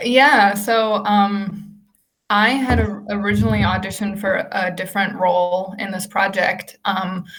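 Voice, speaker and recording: A woman's medium-pitched voice with vocal fry, fairly even intonation and a fairly slow pace, plus audible room echo. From Germany. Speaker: actress. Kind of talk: interview.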